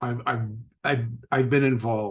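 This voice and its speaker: A man's voice sits at a medium pitch and sounds somewhat breathy. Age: 60s. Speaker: podcast host and trader. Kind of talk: casual interview chat. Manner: animated.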